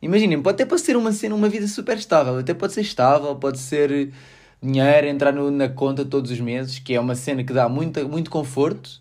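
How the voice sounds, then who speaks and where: With a European Portuguese accent, a man speaks at a very fast pace. His fairly high voice has lively intonation. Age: 20s. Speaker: podcaster and engineering student. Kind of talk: casual solo podcast monologue. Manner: relaxed, laughing.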